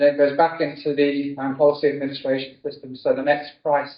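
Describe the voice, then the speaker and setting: The talking goes at a moderate speed in a British accent. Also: man. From UK. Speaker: insurance technology strategy director. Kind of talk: conference keynote talk. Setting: stage with audience.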